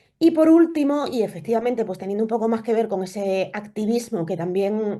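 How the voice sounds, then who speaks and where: With an Extremaduran accent, a woman speaks in a dark, mellow tone. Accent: Extremaduran Spanish, noticeable. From Spain, Extremadura (Cáceres). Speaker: immunology researcher. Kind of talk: lecture. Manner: hesitant, many fillers.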